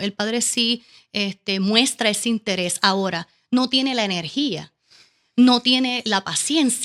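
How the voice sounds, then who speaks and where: With a Caribbean Spanish accent and ordinary pitch variation, the voice has a dry, close sound with no echo. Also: woman. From Puerto Rico. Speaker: educational consultant. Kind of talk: interview. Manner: fast.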